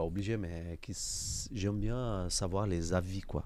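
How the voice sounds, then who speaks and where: A man talks at a very deep, low pitch with a Brazilian accent. His pitch varies in an ordinary way. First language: Portuguese (speaking French). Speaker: podcast host, amateur footballer. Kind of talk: casual interview chat.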